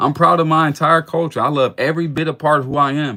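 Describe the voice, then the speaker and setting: Very fast and bright, sharp in tone, a man with a fairly high pitch speaks in an American accent. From US Midwest, Cleveland, Ohio. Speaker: podcast host. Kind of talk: casual monologue. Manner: repetitive stammering restarts; animated.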